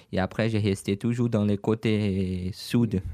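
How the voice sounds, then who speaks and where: A man's dark, mellow, fairly low voice at a fairly slow pace, dry and close with no echo, on a very clean recording with a silent background. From Brazil, Franca (São Paulo state). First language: Portuguese (speaking French). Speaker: online shop owner. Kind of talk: radio interview. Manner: halting.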